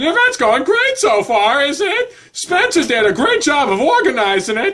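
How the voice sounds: In a put-on character voice, the speaker uses a high pitch with very wide pitch swings at a moderate pace.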